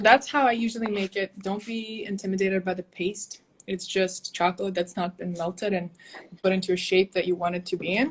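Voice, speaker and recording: A woman talks at a fairly quick pace in a medium pitch. Her voice is somewhat breathy. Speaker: cacao ceremony facilitator and live-stream host. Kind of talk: casual live-stream Q&A. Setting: video live stream. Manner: fast; animated.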